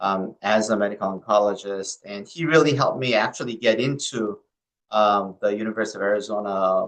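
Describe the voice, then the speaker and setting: A man with a Korean accent talks at a fairly quick pace. His fairly low voice has ordinary pitch variation. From South Korea. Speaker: medical oncologist. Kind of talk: interview. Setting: podcast.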